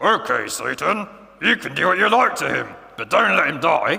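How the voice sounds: A man speaks at a moderate pace in a put-on character voice, pitched high.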